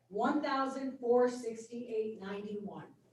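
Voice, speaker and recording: A woman speaks at a high pitch amid audible room echo. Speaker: board member at public hearing. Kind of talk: public hearing debate. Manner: loud.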